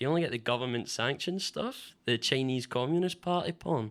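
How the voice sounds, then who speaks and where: A man speaks with a Glasgow accent and lively intonation. The recording is very clean, with a silent background. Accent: Scottish (Glasgow area). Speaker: stand-up comedian. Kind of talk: stand-up. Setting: stage with audience.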